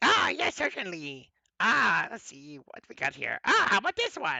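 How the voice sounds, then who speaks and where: This is a put-on character voice with a gruff sound. It moves at a moderate pace. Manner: polite shopkeeper.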